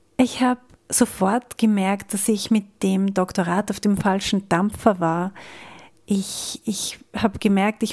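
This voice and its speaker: A woman speaks at a medium pitch with fairly even intonation. The recording is very clean, with a silent background. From Austria. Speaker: podcast host and coach. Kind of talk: personal monologue.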